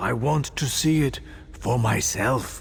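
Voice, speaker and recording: A man puts on a raspy character voice at medium pitch, speaking at a fairly slow pace over light background noise. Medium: video game. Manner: weary, wistful.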